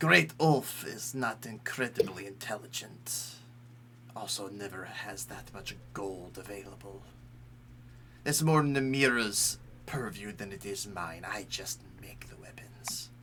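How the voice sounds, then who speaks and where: Put-on character voice from a man of medium pitch, ordinary pitch variation, fairly slow pace, clear background noise. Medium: actual play. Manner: clipped, terse phrases.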